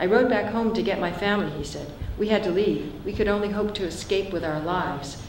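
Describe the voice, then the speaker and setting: A woman with a medium pitch talks at a fairly quick pace, with audible room echo and noticeable background noise. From San Francisco. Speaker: author. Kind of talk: reading aloud.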